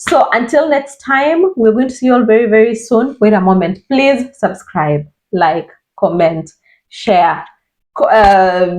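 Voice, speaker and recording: Fairly slow speech from a woman, fairly high in pitch with very wide swings, at very even loudness. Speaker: video podcast host. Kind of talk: casual chat. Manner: halting.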